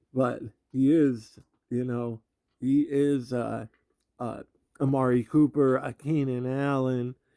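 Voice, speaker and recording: In a dry, close recording with no echo, a man speaks at a medium pitch with a dark, mellow tone and monotone, flat intonation. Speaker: sports video creator. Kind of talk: casual monologue.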